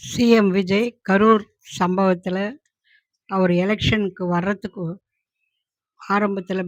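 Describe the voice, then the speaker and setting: A woman speaks at a medium pitch in a monotone, with flat intonation. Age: 70s. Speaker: grandmother giving opinions. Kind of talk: interview answers. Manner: halting.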